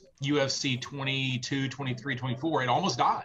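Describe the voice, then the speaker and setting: There is noticeable background noise as a man talks at a fairly quick pace. His pitch is medium and his intonation fairly even. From Memphis, Tennessee. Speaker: martial arts gym owner. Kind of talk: casual chat.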